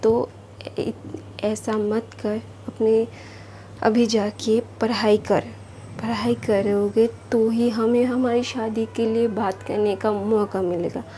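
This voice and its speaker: Amid noticeable background noise, a woman with a non-native accent and a fairly high pitch speaks with fairly even intonation and long, frequent pauses. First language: not Hindi (speaking Hindi). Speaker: storyteller YouTuber. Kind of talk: casual story retelling. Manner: informal, hesitant with fillers.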